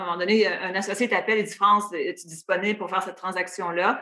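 Medium in pitch, a woman talks at a fairly quick pace with fairly even intonation. She has a plain, everyday voice. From Quebec, Matane (Gaspésie region). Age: 40s. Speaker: sports team executive. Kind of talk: interview.

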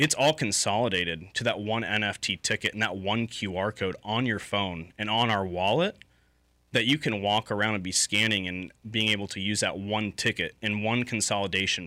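The recording is very clean, with a silent background. A man with an American accent talks at a moderate pace and fairly low pitch, his tone bright and sharp and his pitch variation ordinary. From California (Los Angeles, San Francisco) until about eight, then Lakeland, Florida. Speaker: ticketing tech entrepreneur. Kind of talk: casual interview.

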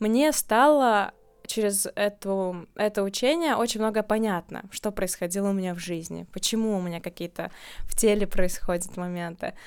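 A woman talks at a moderate pace and medium pitch, with ordinary pitch variation and an unremarkable speaking voice. The recording is very clean, with a silent background. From Latvia, Riga. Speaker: birth-date numerology consultant. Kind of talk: casual interview.

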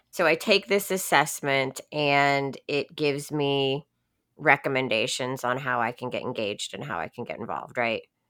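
An American accent marks this woman's very deep, low voice, delivered at a moderate pace with lively intonation. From Florida. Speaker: podcast host. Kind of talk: interview.

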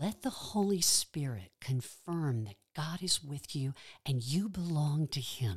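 On a very clean recording with a silent background, a woman with a very deep, low pitch and a gentle, calm, somewhat breathy tone makes very wide pitch swings. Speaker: pastoral prayer guide. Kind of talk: guided prayer meditation. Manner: calm, slow, soothing, with long pauses; gentle, reassuring, pastoral.

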